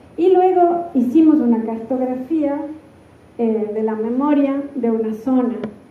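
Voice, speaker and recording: In an Andean Ecuadorian accent, the speaker talks at a fairly slow pace, with audible room echo and noticeable background noise. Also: woman. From Ecuador, Cuenca (southern Andes). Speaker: architect and university researcher. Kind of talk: conference keynote talk. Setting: stage with audience at a seminar. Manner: halting, many filler sounds.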